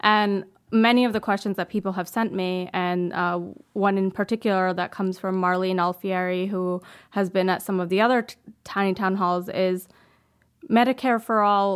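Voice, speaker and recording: Recorded very cleanly over a silent background, a woman with an ordinary speaking voice speaks at medium pitch and a moderate pace with fairly even intonation. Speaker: podcast co-host. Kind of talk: interview. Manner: laughs often, friendly.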